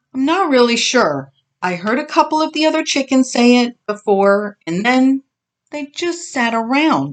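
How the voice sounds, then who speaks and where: A woman uses a put-on character voice at a high pitch and a moderate pace. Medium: read story.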